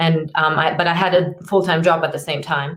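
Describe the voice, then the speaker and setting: Fairly low in pitch, a woman speaks with a German accent. Her intonation stays fairly even. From Germany. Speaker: personal trainer and fitness consultant. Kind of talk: podcast interview. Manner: hesitant, many filler ums.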